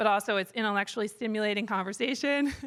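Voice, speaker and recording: The voice is loud, with a bright, sharp tone. The recording is very clean, with a silent background. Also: woman. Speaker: conference organizer, executive director. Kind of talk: closing remarks at a conference. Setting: conference stage with live audience. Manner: hesitant, many fillers.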